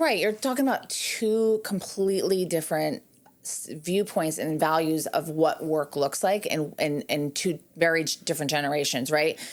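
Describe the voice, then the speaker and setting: In a very clean recording with a silent background, a woman with a normal speaking voice talks in a fairly low pitch with lively intonation. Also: moderate pace. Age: 40s. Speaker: podcast host. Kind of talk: casual interview chat.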